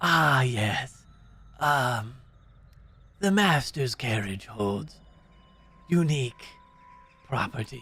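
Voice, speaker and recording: Putting on a character voice of medium pitch, a man speaks very slowly with lively intonation and long, frequent pauses. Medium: actual play. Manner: formal, measured, thinly courteous.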